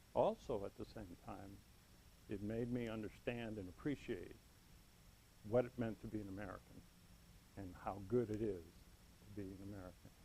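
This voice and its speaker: Pausing long and often, a man speaks in a dark, mellow tone. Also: moderate pace. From US (Chicago, Los Angeles, Miami), Cuban family. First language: Spanish. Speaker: Toastmasters club member. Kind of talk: prepared speech. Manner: some hesitations and fillers.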